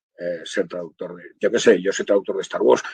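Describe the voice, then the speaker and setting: The man's delivery moves along fairly quickly. His recording is dry and close, free of any echo. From Spain, Barcelona (Catalonia). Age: 60s. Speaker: audiovisual translator. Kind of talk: webinar talk.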